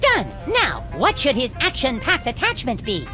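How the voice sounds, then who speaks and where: Over loud music in the background, a cartoonish character voice speaks at a moderate pace. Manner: earnest, naive, eager.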